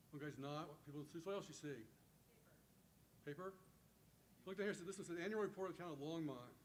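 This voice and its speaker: A man talks at a very fast pace in a fairly high pitch. Audible echo fills the room. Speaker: teacher educator. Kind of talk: conference talk. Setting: stage with audience.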